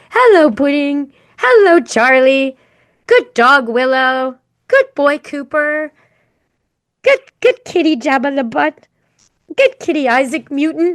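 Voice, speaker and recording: A woman puts on a character voice, high in pitch, over a quiet background. She talks at a fairly slow pace with long, frequent pauses. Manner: happy high-pitched affectionate.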